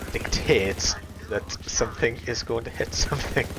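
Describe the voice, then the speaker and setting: A man with a Welsh accent talks over noticeable background noise. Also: moderate pace. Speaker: gaming streamer or video commentator. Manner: casual, chatty running commentary.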